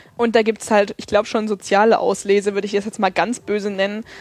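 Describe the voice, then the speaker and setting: This woman has a normal speaking voice with a fairly high pitch. Her intonation is fairly even. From Thuringia, eastern Germany (Erfurt). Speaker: community radio journalist. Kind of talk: casual interview.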